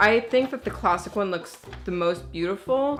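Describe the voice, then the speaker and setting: Here a woman talks. Background music accompanies her. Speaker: sewing tutorial youtuber. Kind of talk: tutorial. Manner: casual, friendly.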